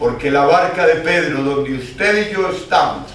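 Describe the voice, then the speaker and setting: With noticeable background noise and audible room echo, a man speaks at a very slow pace. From Colombia, Caldas (paisa region). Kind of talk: sermon. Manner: impassioned.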